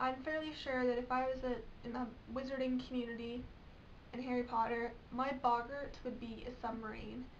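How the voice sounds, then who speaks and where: Audible room echo surrounds a woman's high-pitched voice. She speaks at a moderate pace. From England. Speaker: vlogger. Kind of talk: casual vlog. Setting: bedroom.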